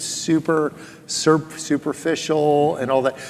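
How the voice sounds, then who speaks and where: There is noticeable background noise. A man speaks at a fairly high pitch. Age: 60s. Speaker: author and former lawyer. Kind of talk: interview. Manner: animated.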